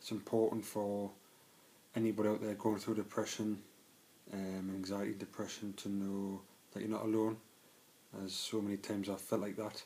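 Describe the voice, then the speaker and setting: A man with a Geordie accent, fairly low-pitched, dark and mellow in tone, monotone and flat, at a moderate pace with long, frequent pauses. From northern England, Newcastle area. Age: 20s. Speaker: trainee electrician sharing mental health story. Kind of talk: personal testimony vlog. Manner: hesitant, many fillers.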